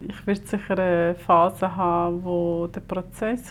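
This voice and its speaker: The recording is very clean, and the background is silent. A woman talks fairly slowly. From Switzerland (arrived age five). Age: 50s. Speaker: mother telling her life story. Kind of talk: casual family conversation.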